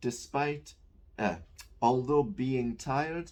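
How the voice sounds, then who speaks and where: A man speaks at a medium pitch with a northeast English accent. His pace is fairly slow. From northeast England. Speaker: English teacher. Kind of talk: lecture. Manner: casual, conversational.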